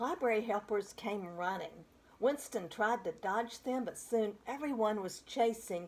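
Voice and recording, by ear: A natural voice reading text aloud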